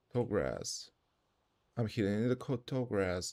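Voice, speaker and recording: At a moderate pace, a man with a non-native accent speaks in a fairly low pitch with a dark, mellow tone. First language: not English. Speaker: streamer. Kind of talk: casual livestream gameplay chat. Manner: animated.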